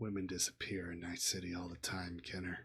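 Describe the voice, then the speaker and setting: A man speaks in a put-on character voice with a very deep, low pitch. His pace is fairly quick. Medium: actual play. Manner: curt, hard-bargaining.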